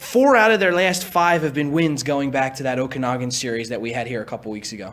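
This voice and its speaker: A man's pitch swings very widely as he rattles along at a very fast pace, with noticeable noise behind him. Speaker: broadcaster, game host. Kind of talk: sports broadcast host segment.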